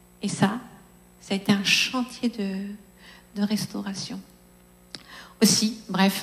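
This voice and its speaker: A woman speaks in a flat monotone at a very slow pace, her voice medium-pitched and somewhat breathy. Long pauses come often. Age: 50s. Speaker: preacher. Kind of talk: sermon.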